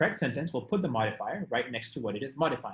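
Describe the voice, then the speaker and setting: A man's somewhat breathy voice has lively intonation and a fairly quick pace. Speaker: tutor teaching test prep class. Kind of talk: online class lecture. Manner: fast.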